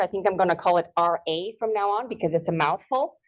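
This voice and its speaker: Speaking at a fairly quick pace, a woman talks with a Spanish accent. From Ecuador. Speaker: horticulture extension agent. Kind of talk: lecture.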